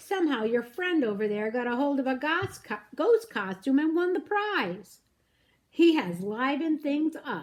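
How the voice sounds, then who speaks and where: A woman puts on a character voice at a high pitch, with very wide swings in pitch. Her pace is moderate. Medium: read story. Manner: firm, stern.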